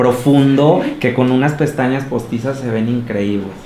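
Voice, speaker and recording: A man at a medium pitch, with ordinary pitch variation and a moderate pace, over noticeable background noise. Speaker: makeup artist. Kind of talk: interview.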